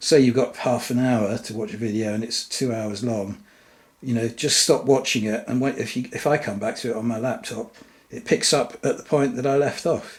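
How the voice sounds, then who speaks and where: Noticeable background noise sits behind a man who talks at a moderate pace with fairly even intonation. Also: medium pitch for a man. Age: 60s. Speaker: wargaming hobbyist YouTuber. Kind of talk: casual monologue to camera. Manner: hesitant, many fillers and restarts.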